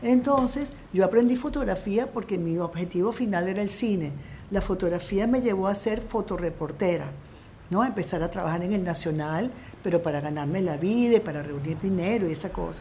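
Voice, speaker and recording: Speaking at a fairly quick pace, a woman with a medium pitch and a dark, mellow tone sounds somewhat breathy, with lively intonation and audible room echo. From Venezuela (Coro family). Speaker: film director. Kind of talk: interview.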